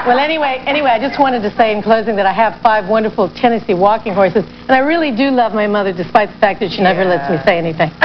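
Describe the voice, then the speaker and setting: A woman speaks at a very fast pace with hardly any pauses. Noticeable background noise runs underneath. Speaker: talk show guest. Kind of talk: interview answer, anecdote. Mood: playful, laughing anecdote. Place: stage.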